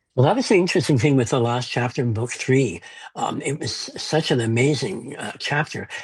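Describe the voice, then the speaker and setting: A man talks at a fairly quick pace with a medium pitch and ordinary pitch variation. His voice is somewhat breathy. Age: 70s. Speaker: fantasy author. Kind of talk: interview. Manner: halting.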